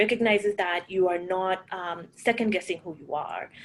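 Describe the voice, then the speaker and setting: A woman with a Kenyan accent and ordinary pitch variation. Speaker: panel moderator, startup program leader. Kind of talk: panel discussion. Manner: animated.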